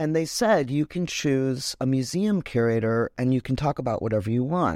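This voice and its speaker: A woman's very deep, low voice in a dark, mellow tone with an American accent, lively intonation and a moderate pace, dry and close with no echo on a very clean recording with a silent background. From US Midwest, Chicago. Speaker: painter. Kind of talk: interview conversation.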